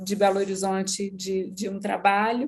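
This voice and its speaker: A woman with a Minas Gerais accent speaks at a fairly slow pace against a quiet background. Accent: Minas Gerais (mineiro). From Brazil, Minas Gerais. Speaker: business executive. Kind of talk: interview podcast.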